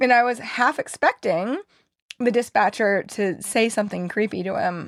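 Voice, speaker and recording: This woman has an ordinary speaking voice, pitched fairly high, with ordinary pitch variation. She talks at a moderate pace. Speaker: podcast co-host. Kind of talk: casual podcast conversation.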